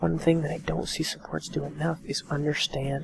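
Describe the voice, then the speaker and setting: A soft-spoken woman with a very deep, low pitch and ordinary pitch variation, at a moderate pace, over noticeable background noise. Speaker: gaming coach commentator. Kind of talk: gameplay commentary and coaching. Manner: quiet, soft-spoken.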